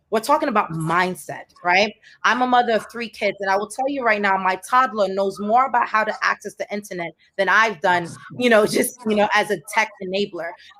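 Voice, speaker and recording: A woman with an ordinary speaking voice talks at a fairly quick pace, at medium pitch with ordinary pitch variation. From Haiti, Port-au-Prince. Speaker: tech entrepreneur, panelist. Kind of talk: panel discussion.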